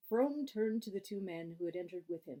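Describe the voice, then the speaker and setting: A woman with a dark, mellow tone at a moderate pace. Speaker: amateur reader. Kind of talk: audiobook style story reading. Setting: home recording.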